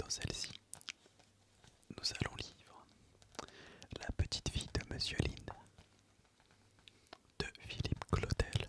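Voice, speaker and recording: Whispering at a very slow pace, the speaker leaves long, frequent pauses over noticeable background noise. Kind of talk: ASMR video intro. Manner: whispered, soft.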